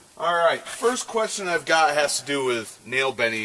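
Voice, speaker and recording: The speaker moves at a moderate pace with lively intonation. Noticeable background noise can be heard. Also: man. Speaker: strength coach, grip strength trainer. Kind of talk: casual Q&A vlog.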